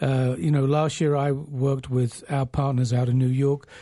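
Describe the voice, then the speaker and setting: Against a quiet background, a somewhat breathy voice with a dark, mellow tone moves at a moderate pace. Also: man. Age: 60s. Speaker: company president and radio show host. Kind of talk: radio talk show discussion. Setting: studio.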